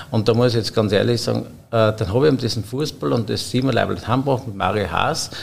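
An ordinary speaking voice from a man, medium in pitch, at a fairly quick pace with ordinary pitch variation. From Austria, Upper Styria (Obdach). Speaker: head chef. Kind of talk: casual interview. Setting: hotel wine room.

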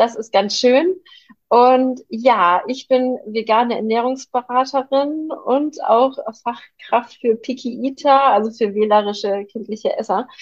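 A woman speaks very slowly in a high voice. Her pitch varies in an ordinary way. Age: 30s. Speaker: vegan nutrition consultant, mother. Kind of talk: casual interview chat.

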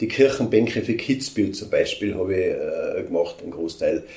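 A man talks at a moderate pace. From Austria, Tyrol. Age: 60s. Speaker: sculptor and woodcarver. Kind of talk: interview. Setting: sculpture workshop.

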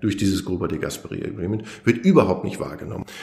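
A man's somewhat breathy, fairly low-pitched voice with audible room echo. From Germany, Lower Rhine. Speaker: historian. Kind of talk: interview.

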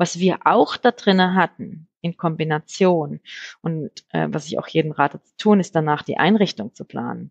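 With vocal fry and a fairly low pitch, a woman talks at a moderate pace, using ordinary pitch variation while her loudness swings widely. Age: 40s. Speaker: homeowner. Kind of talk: interview. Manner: halting, many fillers.

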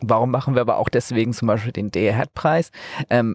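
A man's plain, everyday voice at medium pitch, with ordinary pitch variation, a fairly quick pace and a dry, close sound with no echo. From northern Germany, Flensburg. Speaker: energy startup founder. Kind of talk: interview. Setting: mobile podcast studio at trade fair.

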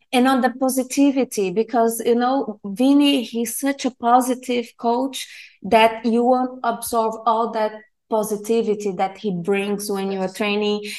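A woman with a Portuguese accent speaks at a fairly slow pace with fairly high pitch, fairly even intonation and hardly any pauses. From Brazil. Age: 30s. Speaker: jiu-jitsu student. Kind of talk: interview.

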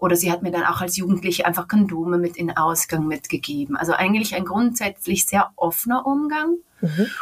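A woman's unremarkable speaking voice at medium pitch, fairly quick in pace with hardly any pauses. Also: lively intonation. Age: 30s. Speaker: interview guest. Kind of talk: personal interview.

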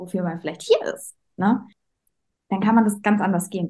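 A woman talks at a moderate pace and medium pitch, somewhat breathy, with a dark, mellow tone and ordinary pitch variation. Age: 20s. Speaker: dance teacher and coach. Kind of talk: interview. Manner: hesitant, many filler sounds.

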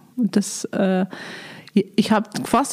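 A woman speaks with fairly even intonation. Noticeable background noise runs behind her. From Lower Bavaria, Germany. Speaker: biblical scholar, director of a Bible institute. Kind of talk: interview. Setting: monastery, in person.

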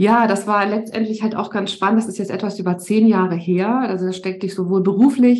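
A woman with a dark, mellow tone at a moderate pace. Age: 50s. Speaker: resilience coach. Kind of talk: podcast interview.

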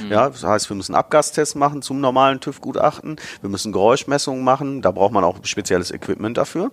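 A man speaks in a normal speaking voice at medium pitch. His pace is fairly quick and his intonation lively. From Ruhr area, Germany (Bottrop). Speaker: automotive marketing director. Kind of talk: interview.

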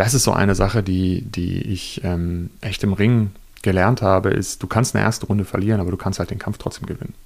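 Fairly quick, fairly even in intonation, an unremarkable speaking voice. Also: man, fairly low pitch for a man. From Lower Saxony, Germany. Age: 30s. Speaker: journalist and author. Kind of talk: interview. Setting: hotel reading room.

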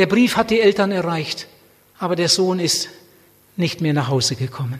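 A man's passionate tone at a fairly slow pace, with noticeable background noise. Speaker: preacher. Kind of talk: sermon. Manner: passionate, urgent, fervent preaching; repetitive emphatic delivery with direct appeals.

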